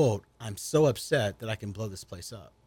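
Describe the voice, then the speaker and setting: On a very clean recording with a silent background, a man talks at a fairly quick pace and a fairly low pitch. His voice is somewhat breathy, with ordinary pitch variation. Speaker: guest discussing race and faith. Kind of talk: radio interview. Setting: radio studio.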